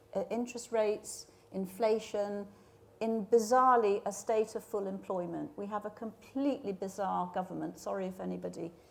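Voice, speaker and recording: With an English accent, a woman speaks at a medium pitch. Her intonation is fairly even, and her pace is moderate. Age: 60s. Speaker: media industry leader. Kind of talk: panel discussion.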